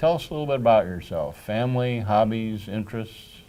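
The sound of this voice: Here a man talks at a fairly quick pace with lively intonation. His voice is fairly low, with a dark, mellow tone.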